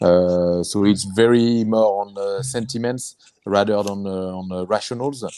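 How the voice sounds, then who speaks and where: In a French accent, a man talks with a fairly low pitch and a dark, mellow tone. His pitch varies in an ordinary way against a quiet background. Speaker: angel investor and entrepreneur. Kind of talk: webinar panel discussion. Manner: halting, many fillers.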